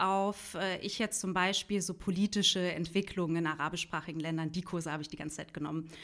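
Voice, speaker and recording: A woman talks at a fairly quick pace. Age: 30s. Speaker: journalist and podcaster. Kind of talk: interview. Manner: halting, many fillers.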